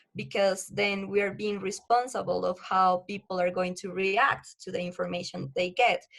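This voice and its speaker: A woman speaks with a Spanish accent at a medium pitch and a moderate pace. Her intonation is fairly even, and she hardly pauses. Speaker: research assistant and science communicator. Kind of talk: podcast interview. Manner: halting.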